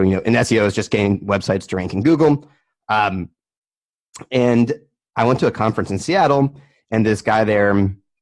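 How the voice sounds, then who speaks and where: A moderate pace in an American accent. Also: man. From US, Maryland. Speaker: crypto podcaster and entrepreneur. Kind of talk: casual interview chat.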